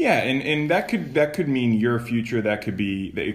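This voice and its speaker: An ordinary speaking voice from a man, moderate in pace and lively in intonation. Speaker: podcast host. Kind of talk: casual chat.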